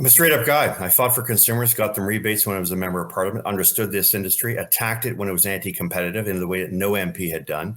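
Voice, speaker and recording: A man with a Canadian accent, fairly low-pitched, ordinary pitch variation, talking very fast with hardly any pauses. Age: 60s. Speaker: energy analyst and former politician. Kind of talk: interview. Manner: animated.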